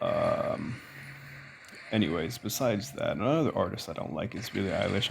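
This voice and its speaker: At a moderate pace, a man talks in a fairly low voice. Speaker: YouTuber. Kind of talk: casual rant. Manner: casual, filler-heavy.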